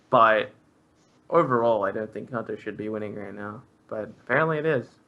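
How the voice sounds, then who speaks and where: Bright and sharp in tone, the voice moves at a moderate pace with ordinary pitch variation. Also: man. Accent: Australian. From Australia. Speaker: esports commentator. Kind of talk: live commentary. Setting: live stream.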